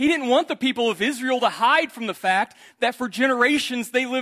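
A man speaks at a high pitch and a moderate pace in a raised, projected voice with a bright, sharp tone. The sound is dry and close with no echo. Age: 30s. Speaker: preacher. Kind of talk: sermon. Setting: church.

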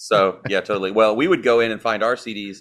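A man with a Southern US accent talks at a very fast pace with a fairly low pitch and fairly even intonation. The recording is very clean, with a silent background. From US South. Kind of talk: interview.

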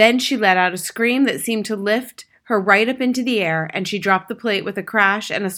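Reading in a natural voice, its pitch varying an ordinary amount

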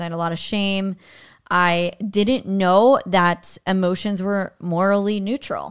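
An ordinary speaking voice from a woman, medium in pitch, fairly slow and fairly even in intonation, on a very clean recording with a silent background. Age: 40s. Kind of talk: casual chat.

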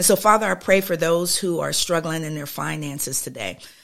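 A woman's very deep, low voice with vocal fry and lively intonation at a moderate pace, in a very clean recording with a silent background. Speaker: prayer podcast host. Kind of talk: fervent prayer, spoken aloud to God. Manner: earnest, pleading, impassioned, repeating 'Lord God' and 'Oh God'; rhythmic, flowing, with small hesitations.

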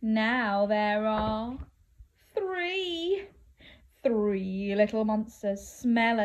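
Woman with a fairly high pitch, slightly mellow tone, ordinary pitch variation and a very slow pace

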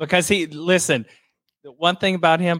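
A man with a Southern US accent in a very clean, dry, close recording with a silent background and no echo. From Louisiana, US South. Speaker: TV personal assistant, reality show fan. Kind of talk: casual chat.

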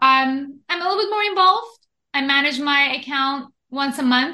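A woman's raised, projected voice, high-pitched with a bright, sharp tone and lively intonation, on a very clean recording with a silent background. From Iran. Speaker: investment educator and author. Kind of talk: interview.

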